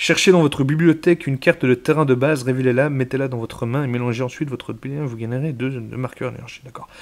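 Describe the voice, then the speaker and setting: The speech comes very fast with hardly any pauses, fairly even intonation and big swings in loudness. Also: man, medium pitch for a man. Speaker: YouTuber, card collector. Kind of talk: card booster opening, reading cards aloud. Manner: casual; halting, stumbling over words.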